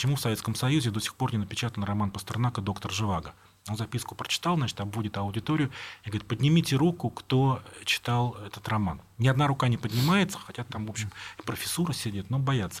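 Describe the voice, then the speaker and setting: A man speaks very fast, somewhat breathy. His intonation is lively. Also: medium pitch for a man. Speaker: writer. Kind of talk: interview.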